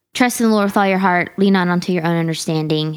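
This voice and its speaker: A woman with a medium-pitched voice is heard in a very clean recording against a silent background. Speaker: church worship leader. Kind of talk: casual chat. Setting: studio.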